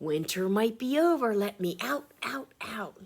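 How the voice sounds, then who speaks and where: Using a put-on character voice, a woman speaks at a fairly slow pace and medium pitch with very wide pitch swings. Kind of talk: children's picture book voice. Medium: read story. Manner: shouting, demanding.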